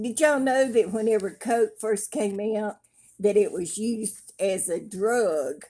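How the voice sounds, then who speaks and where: A woman with a Southern US accent, her tone dark and mellow, her pitch varying in an ordinary way. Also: fairly high pitch for a woman, fairly slow pace. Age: 70s. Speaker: craft vlogger. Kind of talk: casual chat. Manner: animated.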